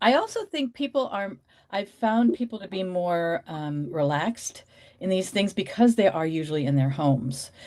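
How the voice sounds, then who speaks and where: Her pitch sits in the medium range for a woman. This woman's voice moves through very wide pitch swings. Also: moderate pace. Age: 60s. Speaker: reseller. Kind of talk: casual chat.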